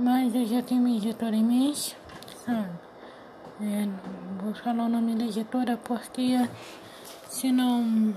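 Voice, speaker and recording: Noticeable background noise sits behind a woman with a fairly high voice. She talks at a fairly slow pace with monotone, flat intonation. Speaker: podcast host and aspiring writer. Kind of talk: unscripted solo monologue. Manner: halting, many fillers; louder after adjusting.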